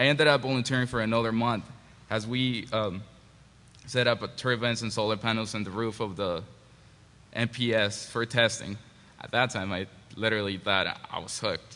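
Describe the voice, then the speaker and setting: In a Spanish accent, a bright, sharp voice moves at a moderate pace with fairly even intonation and long, frequent pauses. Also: man, medium pitch for a man. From Mexico. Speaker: engineering graduate. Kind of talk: panel presentation. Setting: panel at a forum. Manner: halting.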